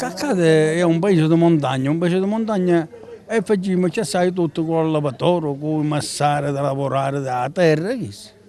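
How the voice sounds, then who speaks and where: Noticeable background noise sits under a man's fairly high-pitched voice. His loudness swings widely while his pitch varies in an ordinary way. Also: moderate pace. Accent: Sicilian. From Sicily. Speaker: livestock farmer. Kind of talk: interview answer.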